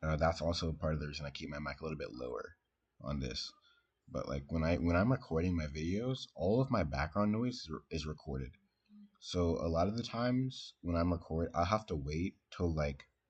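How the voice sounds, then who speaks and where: Soft-spoken and somewhat breathy, a man with a very deep, low pitch talks at a fairly quick pace with lively intonation. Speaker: gaming streamer. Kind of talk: casual chat. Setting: live stream at home. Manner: halting.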